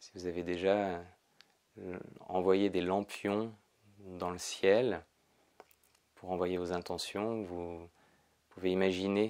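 Very deep and low, a soft-spoken man talks very slowly in a calm, soothing tone. His intonation is a flat monotone against a quiet background. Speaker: yoga teacher. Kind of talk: guided meditation. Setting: pre-recorded video session. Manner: slow, soft, calm and soothing, with long pauses. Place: home room.

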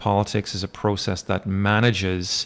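A man's fairly low, monotone voice with flat intonation, a fairly slow pace and an Irish accent. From Ireland. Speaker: university lecturer; instructor. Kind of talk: lecture. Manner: hesitant, many fillers. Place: home room. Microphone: webcam.

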